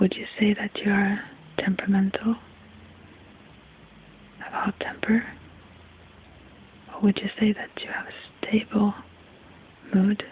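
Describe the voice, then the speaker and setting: The voice is soft-spoken and soothing in tone, moving at a moderate pace with long, frequent pauses. Noticeable background noise can be heard. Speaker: ayurvedic health examiner (ASMR role-play). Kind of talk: ASMR role-play consultation. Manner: soft-spoken, soothing.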